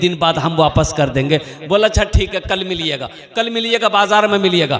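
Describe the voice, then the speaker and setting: A high-pitched man with ordinary pitch variation, against noticeable background noise. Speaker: Islamic preacher giving a sermon. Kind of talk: Islamic religious sermon with humorous anecdotes, delivered to a crowd.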